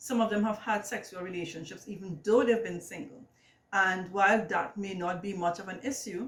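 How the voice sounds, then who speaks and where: Talking at a fairly quick pace, a woman speaks in a Trinidadian accent. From Trinidad and Tobago. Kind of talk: casual vlog monologue. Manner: hesitant, many fillers.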